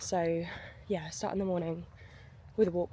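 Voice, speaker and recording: A woman with an English accent at a moderate pace. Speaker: online coach and vlogger. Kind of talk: casual vlog. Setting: outdoors. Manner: soft-spoken.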